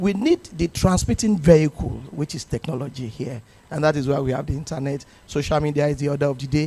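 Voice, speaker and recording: A man talks at a very fast pace, his fairly high pitch showing ordinary variation. His tone is dark and mellow, and somewhat breathy. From Nigeria. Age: 60s. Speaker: actor. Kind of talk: panel discussion.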